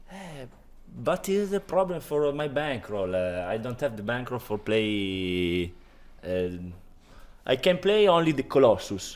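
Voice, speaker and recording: With an Italian accent, a man of medium pitch speaks at a fairly slow pace while his pitch swings very widely. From Italy. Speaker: online poker player. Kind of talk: casual interview. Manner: halting.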